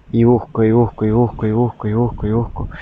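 A man talks at a moderate pace in a medium pitch, his intonation monotone and flat. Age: 30s. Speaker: podcaster and therapist. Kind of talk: reflective monologue.

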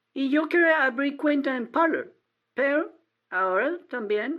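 Speaking at a very slow pace, a woman with an American accent has a high-pitched voice. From Texas, small town. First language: English (speaking Spanish). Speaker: caller, adult-school teacher. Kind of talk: casual chat. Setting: phone call. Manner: halting, hesitant non-native Spanish.

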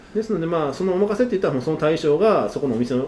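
A fairly high-pitched man talking very fast with lively intonation, over noticeable background noise. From Osaka. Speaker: sushi chef and restaurant owner. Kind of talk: interview.

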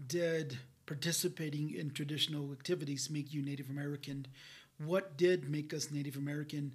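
A man's fairly high, somewhat breathy voice at a fairly quick pace, with fairly even intonation. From New Mexico pueblos (Hopi, Zuni, Laguna). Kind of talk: podcast interview.

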